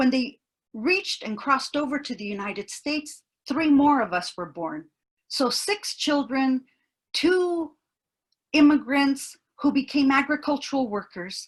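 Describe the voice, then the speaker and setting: Pausing long and often, a woman speaks at a fairly slow pace, her high voice lively in intonation. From US, Mexican immigrant family, farmworker upbringing. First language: Spanish. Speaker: university professor, keynote speaker. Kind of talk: keynote talk. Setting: webinar. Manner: earnest, emphatic.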